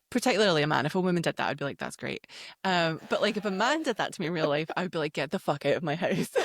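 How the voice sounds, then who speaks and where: A woman with a Scottish accent speaks very fast at a fairly low pitch, her intonation lively, in a dry, close recording with no echo, very clean and with a silent background. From Scotland. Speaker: podcast host. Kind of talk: casual chat.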